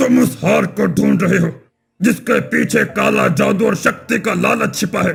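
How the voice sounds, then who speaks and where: In a cartoonish character voice, a man growls at a very even loudness. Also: moderate pace. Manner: grave, commanding, cryptic.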